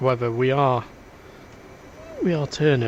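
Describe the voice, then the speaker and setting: Speaking fairly quickly in a Lancashire accent, a man has a medium pitch and ordinary pitch variation. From northern England, Preston, Lancashire. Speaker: gaming streamer. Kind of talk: casual chat. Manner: halting.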